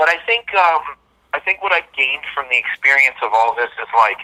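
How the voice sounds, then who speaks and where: A loud, bright, sharp male voice, fairly high in pitch, with lively intonation, a moderate pace, and a dry, close sound free of echo. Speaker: metal band guitarist. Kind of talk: casual interview chat.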